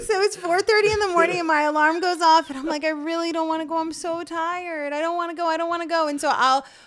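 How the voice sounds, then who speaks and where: Mumbling from a woman at extremely high pitch, very fast with hardly any pauses and fairly even intonation. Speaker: morning show co-host. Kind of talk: casual chat.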